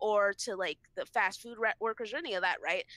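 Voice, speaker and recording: A woman speaks in an animated tone. Her voice sounds bright and sharp. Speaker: podcast co-host. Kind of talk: casual chat.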